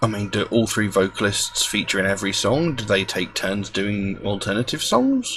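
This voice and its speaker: Soft-spoken, a man talks at a moderate pace over noticeable background noise. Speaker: music reaction youtuber. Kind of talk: casual video monologue. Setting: at home. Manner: quiet, soft-spoken; hesitant, many fillers.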